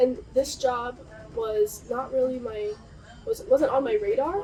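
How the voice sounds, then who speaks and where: The speaker has an American accent and very wide pitch swings. Music sits in the background. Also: woman. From Southern California. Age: 20s. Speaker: naturalist, marine biology student. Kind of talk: interview answer. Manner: upbeat.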